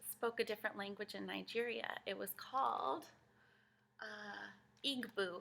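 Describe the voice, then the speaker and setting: A woman speaks with a Spanish accent. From Guatemala. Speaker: children's librarian. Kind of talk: children's storytime reading aloud. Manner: animated.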